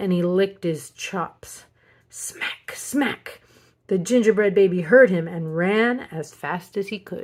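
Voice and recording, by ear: Someone is reading aloud in a natural voice.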